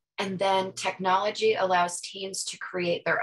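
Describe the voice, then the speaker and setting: A woman with an American accent talks at a moderate pace in an unremarkable speaking voice, fairly low in pitch with fairly even intonation. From US East Coast. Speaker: webinar presenter. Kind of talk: webinar Q&A, reading chat comments. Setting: online webinar.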